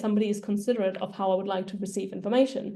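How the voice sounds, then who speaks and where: A woman with a German accent talks very fast at a medium pitch, with ordinary pitch variation. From Germany. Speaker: data career coach. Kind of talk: presentation.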